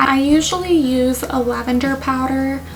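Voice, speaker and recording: A woman with an American accent, high pitch, monotone, flat intonation and fairly slow pace, amid noticeable background noise and audible room echo. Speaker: beauty vlogger and aesthetician. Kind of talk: makeup tutorial commentary. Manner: casual, conversational.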